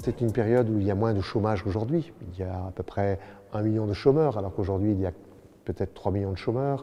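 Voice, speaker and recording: Very fast male speech with fairly low pitch, a dark, mellow tone and ordinary pitch variation. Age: 70s. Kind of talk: interview.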